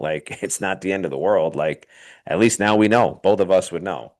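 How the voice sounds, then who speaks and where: Against a quiet background, a plain, everyday voice talks at a fairly quick pace with ordinary pitch variation. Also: man. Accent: American. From New York. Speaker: baseball pitching coach. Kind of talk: interview testimonial. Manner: casual.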